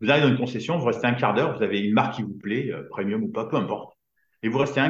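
Somewhat breathy, a man talks very fast. His pitch is medium with ordinary variation. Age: 50s. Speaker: business coach for entrepreneurs. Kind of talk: casual interview.

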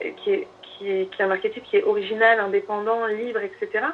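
Her voice is a normal speaking voice, fairly high in pitch, as a woman talks at a moderate pace with ordinary pitch variation. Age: 30s. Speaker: astrologer. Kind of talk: casual chat.

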